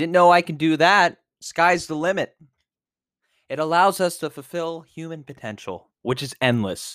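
A man's high-pitched voice with ordinary pitch variation and big swings in loudness, in a very clean recording over a silent background. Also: moderate pace. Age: 20s. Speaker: podcast host. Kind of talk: solo monologue podcast.

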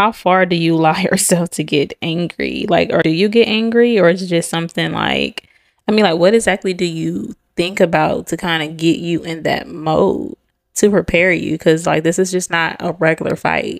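A woman talks at a moderate pace with vocal fry. Her pitch is fairly low with ordinary variation. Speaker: podcast co-host. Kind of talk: casual chat.

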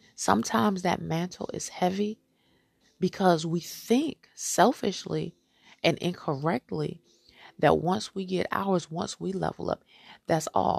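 Fairly slow and fairly low in pitch, a woman speaks with lively intonation. Her voice carries vocal fry. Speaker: podcast host. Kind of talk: motivational talk. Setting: studio. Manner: animated.

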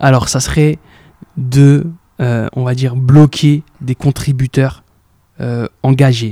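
Recorded dry and close with no echo, a man speaks at a medium pitch with fairly even intonation and a dark, mellow tone that is somewhat breathy. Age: 20s. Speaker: entrepreneur. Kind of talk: casual interview. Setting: in person office. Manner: hesitant, repeats words.

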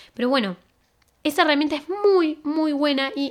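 A woman with a Rioplatense accent speaks fairly slowly with lively intonation. The recording is very clean, with a silent background. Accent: Argentine Rioplatense Spanish. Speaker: podcast host. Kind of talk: casual monologue with social media tips.

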